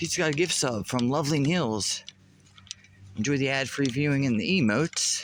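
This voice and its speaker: With noticeable background noise around him, a fairly high-pitched man speaks at a moderate pace. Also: ordinary pitch variation. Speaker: live streamer. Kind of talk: casual live stream chat. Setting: golf course; church fellowship hall lunchroom.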